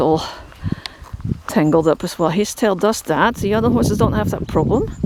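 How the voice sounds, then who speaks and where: Someone with a Dutch accent speaks at a moderate pace over noticeable background noise. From Netherlands. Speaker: horse shelter keeper, vlogger. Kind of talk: casual vlog talk to camera. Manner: halting, many fillers.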